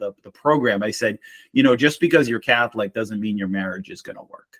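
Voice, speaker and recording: With a slight Boston accent, a man talks at a medium pitch. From Boston, Massachusetts. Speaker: marriage mentor. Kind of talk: casual interview.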